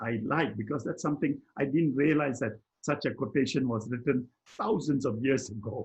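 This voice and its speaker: At a moderate pace, a man talks with a medium pitch and ordinary pitch variation. His voice is somewhat breathy. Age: 80s+. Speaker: personal development mentor. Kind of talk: conversational discussion. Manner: halting, with repetitions.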